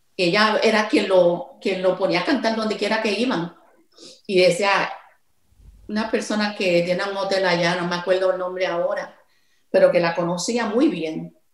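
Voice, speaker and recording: At a moderate pace, a woman speaks with ordinary pitch variation amid audible room echo. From Puerto Rico. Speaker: songwriter; interviewee. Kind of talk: interview. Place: home room. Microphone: video call.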